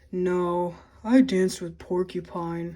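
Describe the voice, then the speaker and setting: Using a put-on character voice, a woman speaks at a fairly slow pace and a medium pitch. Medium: read story.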